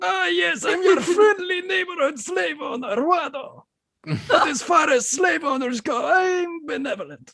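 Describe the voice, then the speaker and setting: It is a put-on character voice with a high pitch. The pace is moderate. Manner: jovial, salesman-like.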